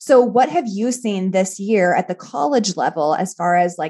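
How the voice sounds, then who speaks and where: A woman speaks at medium pitch and a fairly slow pace. Her tone is warm and upbeat, yet dark and mellow. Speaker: podcast host. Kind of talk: casual interview chat. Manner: warm, upbeat, enthusiastic.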